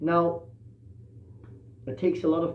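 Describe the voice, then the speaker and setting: There is audible room echo around a man's voice. He has a fairly high pitch and a moderate pace. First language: not English. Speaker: musician and livestream host. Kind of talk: casual livestream talk. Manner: hesitant, many fillers.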